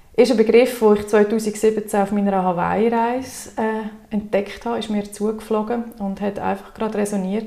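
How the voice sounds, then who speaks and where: Over noticeable background noise, a woman talks at a moderate pace and medium pitch with monotone, flat intonation. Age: 30s. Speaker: wellbeing coach. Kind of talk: interview.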